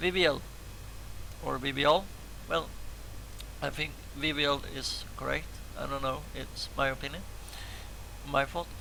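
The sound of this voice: A man's raspy voice at a medium pitch, with vocal fry, fairly even intonation, a fairly slow pace and long, frequent pauses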